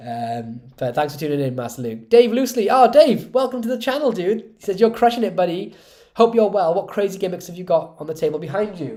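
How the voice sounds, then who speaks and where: Loudness swings widely and pitch swings very widely in this fairly quick delivery with a dark, mellow tone. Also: man, high pitch for a man. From Wales. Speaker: magician and magic tutorial creator. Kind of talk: live stream chat reading comments. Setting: live stream. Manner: casual and animated.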